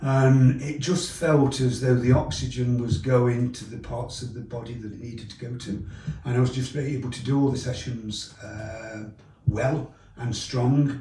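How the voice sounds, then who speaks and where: Over noticeable background noise, a man at medium pitch speaks at a fairly slow pace with fairly even intonation and big swings in loudness. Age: 60s. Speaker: triathlete. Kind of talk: testimonial interview answer.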